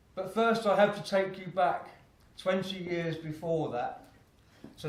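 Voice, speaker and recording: This man has an Essex accent and a high pitch with ordinary variation. He talks at a fairly slow pace, and the room echo is audible. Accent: southern English (Essex). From Essex, England. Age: 60s. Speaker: motivational speaker. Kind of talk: keynote speech.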